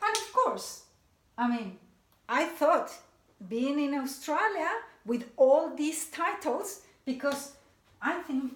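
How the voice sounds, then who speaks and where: A woman with a Mexican accent, high in pitch, at a very slow pace, with very wide pitch swings, long, frequent pauses and audible room echo. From Mexico City, Mexico. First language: Spanish. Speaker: motivational speaker. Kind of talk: talk to a seminar audience.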